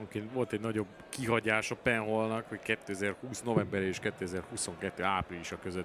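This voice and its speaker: In a normal speaking voice, a man goes at a fairly slow pace with fairly even intonation. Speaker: darts commentator. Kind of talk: live commentary.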